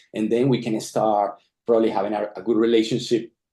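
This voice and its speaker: A man with a non-native accent speaks at a fairly quick pace against a quiet background. His medium-pitched voice has a dark, mellow tone. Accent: foreign. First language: not English. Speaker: tech founder, data scientist. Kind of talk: product launch presentation. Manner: halting, repeats words.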